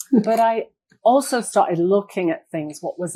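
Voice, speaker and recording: This voice has ordinary pitch variation and an English accent. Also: woman. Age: 60s. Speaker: retired occupational therapist. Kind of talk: interview.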